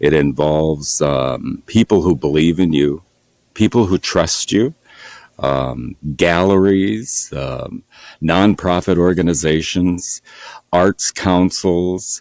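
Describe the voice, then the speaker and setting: Speaking at a very slow pace, a man with a very deep, low pitch shows ordinary pitch variation in a dry, close sound with no echo. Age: 60s. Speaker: painter. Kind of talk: interview. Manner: halting, many fillers.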